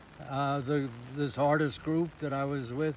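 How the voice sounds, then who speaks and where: A man with an American accent speaks at a fairly slow pace in a fairly high pitch, with noticeable background noise behind him. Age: 80s+. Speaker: sculptor, former priest. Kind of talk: casual tour talk to camera. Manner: hesitant, slow with many fillers.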